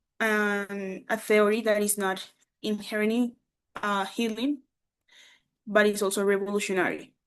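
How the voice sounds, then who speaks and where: Against a quiet background, a woman with a Colombian accent speaks fairly slowly at a fairly high pitch. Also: long, frequent pauses. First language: Spanish. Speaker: English teacher. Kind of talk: conference presentation. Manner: halting.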